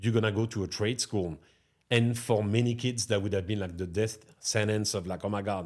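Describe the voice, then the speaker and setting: Speaking at a fairly quick pace, a man with a French accent has a fairly low pitch and fairly even intonation. The recording is very clean, with a silent background. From France, near Chartres. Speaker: restaurateur. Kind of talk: podcast interview.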